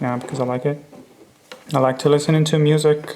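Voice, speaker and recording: This man keeps his intonation fairly even while noticeable background noise runs behind him. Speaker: watch restorer. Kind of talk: tutorial. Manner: soft-spoken; halting.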